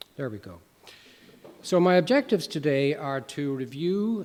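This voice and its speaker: A man with an American accent and lively intonation. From Ireland, Dublin. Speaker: professor of medicine. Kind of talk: lecture. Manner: halting, many fillers.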